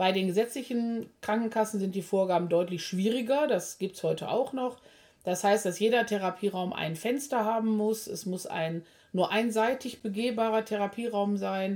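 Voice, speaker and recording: Speaking in a plain, everyday voice, this woman keeps a moderate pace, her fairly high pitch showing ordinary variation. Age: 50s. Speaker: physiotherapist and practice owner. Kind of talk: casual podcast chat.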